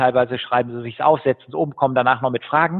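A man's voice with fairly even intonation. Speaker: entrepreneur and keynote speaker. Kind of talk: interview. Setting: home office.

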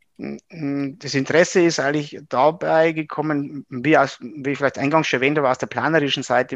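A man with a fairly high voice talks at a moderate pace, recorded with a dry, close sound and no echo. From Upper Palatinate, Bavaria (Regensburg area). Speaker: engineering professor. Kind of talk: interview. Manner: halting, many fillers.

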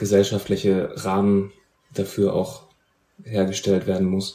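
A man's fairly low voice unfolds at a fairly slow pace. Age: 30s. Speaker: podcast host, music journalist. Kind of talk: interview.

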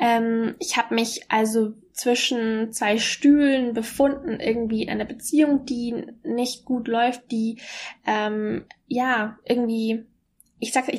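Using a normal speaking voice, a woman with a fairly high pitch talks at a fairly slow pace with fairly even intonation. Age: 20s. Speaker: podcaster and mentor for women. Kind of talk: personal monologue. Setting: alone at home.

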